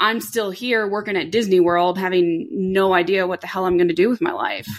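Very clean, with a silent background, this recording features a woman with an American accent. She has an unremarkable speaking voice and speaks at a moderate pace with ordinary pitch variation. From Florida (Orlando). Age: 30s. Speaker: dental assistant and aspiring pilot. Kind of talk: casual interview. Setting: living room.

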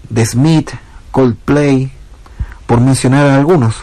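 Fairly even in intonation, a male speaker holds a middle pitch while noticeable noise sounds behind him. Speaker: musician. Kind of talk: recorded self-presentation.

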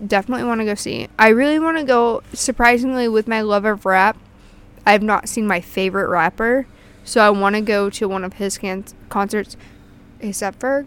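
Speaking at a moderate pace, a woman with a fairly high pitch and ordinary pitch variation has an ordinary speaking voice. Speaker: podcast co-host. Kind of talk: casual chat. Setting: outdoors in backyard.

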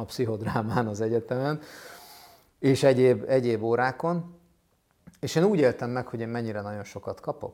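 A man speaks at a medium pitch in a dark, mellow tone, his pitch rising and falling in an ordinary way. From Hungary, Budapest. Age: 40s. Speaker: mental health professional and summit host. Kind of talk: interview.

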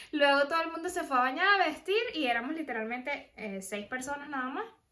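Raised and projected, a woman's high-pitched voice has a bright, sharp tone, lively intonation and a moderate pace. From Venezuela. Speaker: podcast host. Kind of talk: casual chat.

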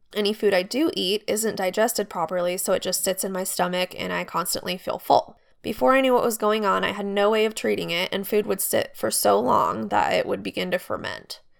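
With an American accent and hardly any pauses, a woman talks at a fairly quick pace on a very clean recording with a silent background. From US, Idaho. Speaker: podcaster sharing survivor story. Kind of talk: personal storytelling.

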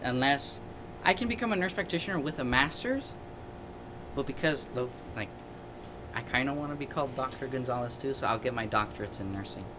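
A medium-pitched man talks at a very fast pace, with ordinary pitch variation and long, frequent pauses. Noticeable background noise and audible room echo fill the recording. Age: 20s. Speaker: podcast co-host, student. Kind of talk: casual chat.

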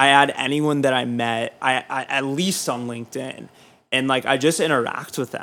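This man has a plain, everyday voice, pitched in the medium range, with an American accent. He keeps a moderate pace and fairly even intonation. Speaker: student and music PR publicist. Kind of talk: casual interview chat.

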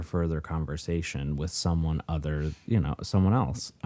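Ordinary pitch variation marks this voice. It belongs to a man. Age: 30s. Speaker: podcast co-host, family counselor. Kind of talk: casual chat. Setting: home basement, in person.

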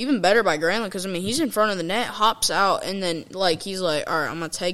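Talking fairly quickly, a woman uses a normal speaking voice with ordinary pitch variation. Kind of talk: live sports commentary, play-by-play of a hockey game. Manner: casual, fan-style, loose and filler-heavy.

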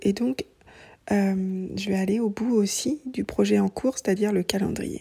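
This clip features a woman's voice. Her sound is dry and close, without any echo. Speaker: knitting podcaster. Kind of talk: casual monologue. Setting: at home. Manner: hesitant, many fillers.

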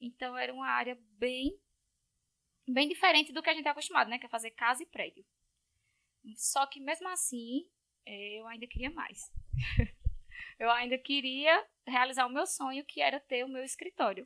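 In a dry, close recording with no echo, a woman with a high pitch and a bright, sharp tone uses a raised, projected voice at a moderate pace, with ordinary pitch variation, big swings in loudness and long, frequent pauses. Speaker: civil engineer. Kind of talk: casual chat.

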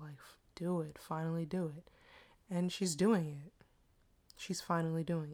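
In a DC area accent, a woman talks at a moderate pace with a fairly low pitch and monotone, flat intonation. Her loudness swings widely, and she leaves long, frequent pauses. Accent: American, DC area. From Washington DC area, US. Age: 20s. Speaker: podcast host. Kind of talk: casual solo monologue. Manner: casual, chatty, self-deprecating.

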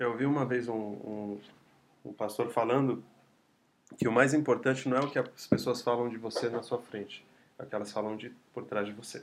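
This man talks at a moderate pace and medium pitch, with monotone, flat intonation. Long, frequent pauses break up his speech. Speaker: podcast host. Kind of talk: interview. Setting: guest's home. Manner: stammering.

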